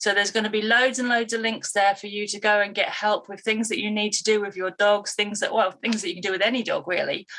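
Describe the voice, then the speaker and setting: With a British accent, a woman speaks very fast in a bright, sharp tone with monotone, flat intonation. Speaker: dog behaviourist and trainer. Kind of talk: live stream talk to viewers. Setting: live online stream. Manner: halting, pauses to breathe.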